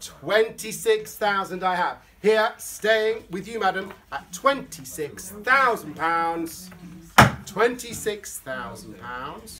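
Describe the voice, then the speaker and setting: A man speaks in a raised, projected voice at a very slow pace, with lively intonation and big swings in loudness. Light noise sits in the background. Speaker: auctioneer. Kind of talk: auction calling. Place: hall. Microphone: camera far.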